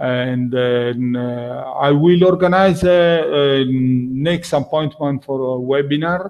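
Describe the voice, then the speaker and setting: A man speaks at medium pitch with a non-native accent. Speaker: functional safety instructor. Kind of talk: webinar closing remarks. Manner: halting, many fillers.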